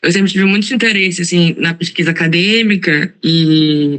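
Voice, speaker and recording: With ordinary pitch variation, a woman talks in a fairly low register. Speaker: student in a course, lawyer by training. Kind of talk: self-introduction in an online class.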